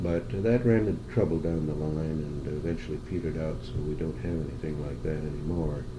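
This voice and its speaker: A man with an Upper Midwest accent talks at a fairly quick pace with hardly any pauses, over noticeable background noise. His pitch is very deep and low, with ordinary pitch variation. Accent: Upper Midwest American. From Madison, Wisconsin. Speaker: oral history interviewee. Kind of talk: interview answer. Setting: recorded interview, tape recording. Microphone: old recording.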